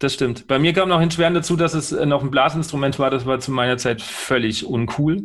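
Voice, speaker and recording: A man with a normal speaking voice, fairly high in pitch, at a fairly quick pace, with ordinary pitch variation and hardly any pauses. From central Germany. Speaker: podcast host and trumpeter. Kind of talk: interview.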